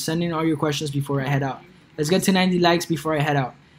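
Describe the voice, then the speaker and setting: With a Colombian accent, a man speaks at a high pitch with fairly even intonation over noticeable background noise. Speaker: e-commerce YouTuber. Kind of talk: livestream Q&A. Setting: live stream. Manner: casual, filler-heavy.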